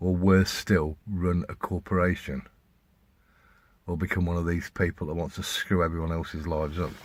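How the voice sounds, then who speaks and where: A man with an English accent speaks at a moderate pace in a very deep, low, monotone voice with flat intonation, on a very clean recording with a silent background. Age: 60s. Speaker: vlogger. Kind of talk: casual monologue. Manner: halting.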